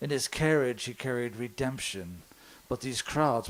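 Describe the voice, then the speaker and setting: A man at medium pitch, speaking at a fairly slow pace. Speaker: slam poet. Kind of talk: poetry slam performance. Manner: lyrical, rhythmic rhyming delivery.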